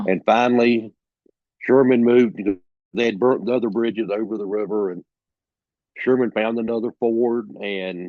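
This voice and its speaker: A Southern US accent with long, frequent pauses and fairly even intonation. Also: man, medium pitch for a man, moderate pace. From South Carolina. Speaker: author and storyteller. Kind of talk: interview answer. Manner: casual, hesitant.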